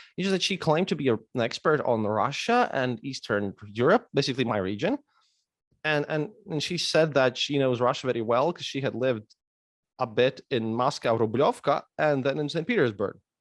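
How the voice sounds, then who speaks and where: With a Latvian accent and lively intonation, a man speaks over a quiet background. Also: medium pitch for a man, moderate pace, dry, close sound with no echo. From Latvia, Riga. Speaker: historian and podcaster. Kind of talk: casual interview chat. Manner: halting, many repetitions.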